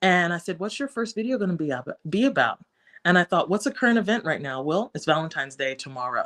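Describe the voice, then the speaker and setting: An animated woman's voice at a medium pitch, very fast, with very wide pitch swings. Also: dry, close sound with no echo. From West Africa. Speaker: content creator. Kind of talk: interview.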